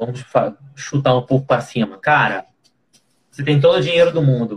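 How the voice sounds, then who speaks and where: A man's fairly high, somewhat breathy voice with lively intonation, at a moderate pace. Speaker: podcast host. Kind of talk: casual chat.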